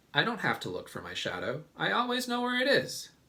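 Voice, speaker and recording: A man's put-on character voice, extremely high in pitch, at a fairly quick pace. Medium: read story. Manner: confident, measured.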